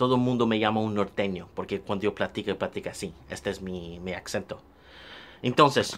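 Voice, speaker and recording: Talking at a fairly quick pace, a man with a northern Mexican accent uses a fairly low pitch with ordinary pitch variation. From northern Mexico.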